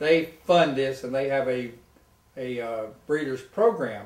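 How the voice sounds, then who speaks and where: A man speaks at a medium pitch with a somewhat breathy voice and fairly even intonation. Some room echo can be heard. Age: 70s. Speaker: retired tennis pro and golfer. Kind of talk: casual interview.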